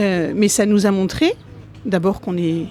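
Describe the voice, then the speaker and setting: With music in the background, a woman speaks at medium pitch and a fairly slow pace. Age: 50s. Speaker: politician. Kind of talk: interview. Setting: conference event.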